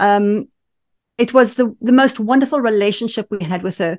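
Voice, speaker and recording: A woman speaks with a South African accent and ordinary pitch variation. The background is quiet. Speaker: women's empowerment coach and movement founder. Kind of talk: casual interview. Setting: remote call. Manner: animated.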